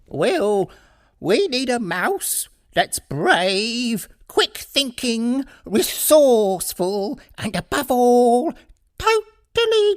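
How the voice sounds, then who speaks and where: This put-on character voice sits fairly high and swings very widely in pitch. It moves at a very slow pace over a very clean recording with a silent background. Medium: read story. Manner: measured, serious.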